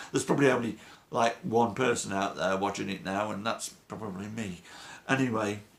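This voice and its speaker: Speaking at a fairly quick pace, a man with a British accent keeps a fairly low pitch and fairly even intonation. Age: 60s. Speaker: weight-loss vlogger. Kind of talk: motivational monologue.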